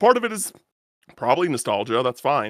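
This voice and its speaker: A man with an American accent at a fairly quick pace, in a dry, close sound with no echo. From United States. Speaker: podcast host. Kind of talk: casual chat. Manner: halting, many repeated words and fillers.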